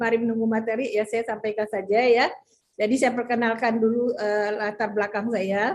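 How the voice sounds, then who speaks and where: Her intonation monotone and flat, a woman speaks at a fairly high pitch and a moderate pace. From West Sumatra, Padang Panjang. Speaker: business leader giving a talk. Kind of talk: presentation with slides.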